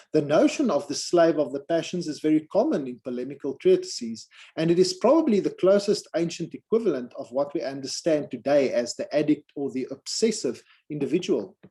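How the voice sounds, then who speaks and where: A man's high, dark and mellow voice with a non-native accent, lively intonation and a fairly quick pace. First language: not English. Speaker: academic conference presenter. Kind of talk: conference paper presentation.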